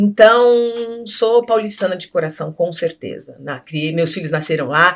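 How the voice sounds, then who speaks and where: Her intonation is lively, and her loudness swings widely. The woman speaks at a fairly slow pace. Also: medium pitch for a woman. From Brazil, Rio de Janeiro then São Paulo from age 10. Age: 50s. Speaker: actress and radio host. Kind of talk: interview.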